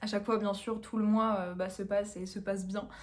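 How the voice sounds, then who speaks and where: A woman talks fairly quickly at a fairly high pitch, her voice somewhat breathy, with audible room echo around her. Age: 20s. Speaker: dietitian vlogger. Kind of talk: casual vlog talk. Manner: hesitant, many fillers.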